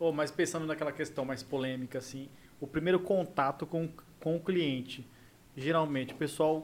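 Using an ordinary speaking voice, a man with a fairly high pitch keeps a moderate pace and ordinary pitch variation. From Mato Grosso do Sul. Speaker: podcast co-host. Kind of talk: casual chat.

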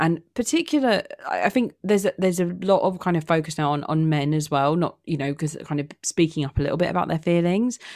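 A woman with a British accent speaks very fast with hardly any pauses, using a fairly low pitch and ordinary pitch variation, on a very clean recording with a silent background. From UK. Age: 20s. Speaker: podcast host. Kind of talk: casual chat.

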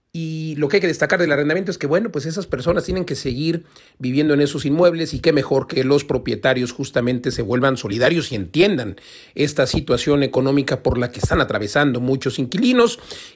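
Lively intonation marks a man's fairly high-pitched voice. He talks at a very fast pace. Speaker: radio host, real estate expert. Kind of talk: radio editorial commentary. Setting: radio studio.

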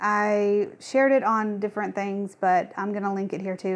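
Over a quiet background, a woman with a fairly high pitch speaks at a fairly slow pace in an ordinary speaking voice. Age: 30s. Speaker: podcast co-host. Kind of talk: casual chat.

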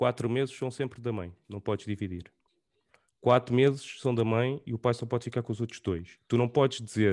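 Speaking at a moderate pace with a European Portuguese accent, a man keeps a medium pitch and fairly even intonation. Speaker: podcast host. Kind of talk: casual chat.

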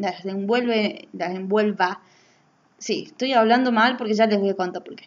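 Her pitch sits fairly high for a woman. She keeps a moderate pace. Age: 20s. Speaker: podcaster. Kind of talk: casual monologue. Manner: halting.

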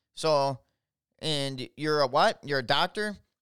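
A man speaks in an animated, bright and sharp tone with an Upper Midwest US accent. His pitch varies in an ordinary way, and the recording is very clean with a silent background. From Minnesota, Twin Cities. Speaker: political podcaster. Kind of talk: solo political commentary monologue.

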